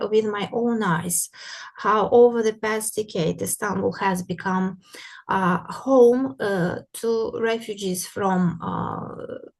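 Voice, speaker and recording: Speaking very slowly with a Russian accent, a woman uses ordinary pitch variation. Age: young. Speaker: art historian. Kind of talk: lecture. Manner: halting, many fillers.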